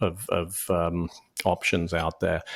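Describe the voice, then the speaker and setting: A man's very deep, low voice is captured in a very clean recording with a silent background. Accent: British. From UK. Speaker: franchise consultant. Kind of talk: podcast interview. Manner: halting, many fillers and repeats.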